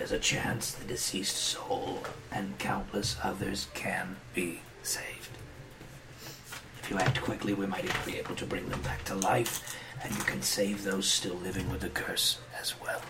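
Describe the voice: Over loud background noise, a man in a raspy, put-on character voice speaks at a moderate pace with a fairly low pitch.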